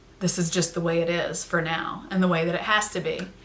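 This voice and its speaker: A woman with a fairly low pitch speaks at a very fast pace in a monotone, flat intonation. Noticeable background noise and audible room echo fill the recording. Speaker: vlogger sharing personal mental health story. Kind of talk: personal testimony to camera. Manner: loud.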